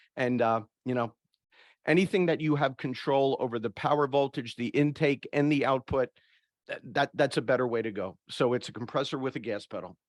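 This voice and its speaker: Talking at a fairly quick pace with ordinary pitch variation, a man with an American accent and medium pitch has an unremarkable speaking voice, in a very clean recording with a silent background. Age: 60s. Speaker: HVAC industry expert. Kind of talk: panel discussion.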